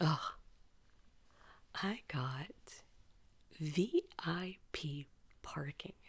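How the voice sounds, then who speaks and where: Quiet and somewhat breathy, a woman speaks at a very slow pace at a fairly low pitch, with ordinary pitch variation and long, frequent pauses. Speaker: vlogger. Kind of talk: casual vlog monologue. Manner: quiet, talking low.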